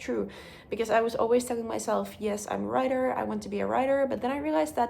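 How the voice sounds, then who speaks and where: A woman speaks with a Finnish accent. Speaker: vlogger. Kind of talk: casual vlog talk. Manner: hesitant, many fillers.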